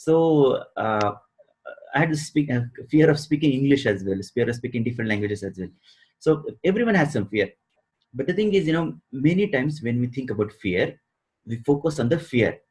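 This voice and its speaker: Long, frequent pauses break up a somewhat breathy voice with lively intonation. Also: man, fairly high pitch for a man, fairly quick pace. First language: not English; a regional native language. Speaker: success coach. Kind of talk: interview. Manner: hesitant, many fillers.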